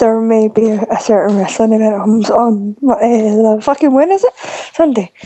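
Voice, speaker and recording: Noticeable background noise accompanies a woman with a fairly high pitch and ordinary pitch variation. Her loudness stays very even at a moderate pace. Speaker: caller. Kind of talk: casual chat.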